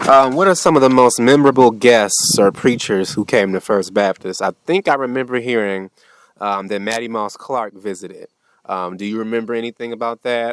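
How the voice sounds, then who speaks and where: With a normal speaking voice, a man talks at medium pitch and a fairly quick pace, with ordinary pitch variation. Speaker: oral history interviewer. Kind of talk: interview questions.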